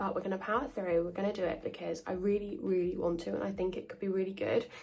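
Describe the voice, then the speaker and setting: A woman with a British accent at a very fast pace, noticeable background noise behind her. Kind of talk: casual talk to camera.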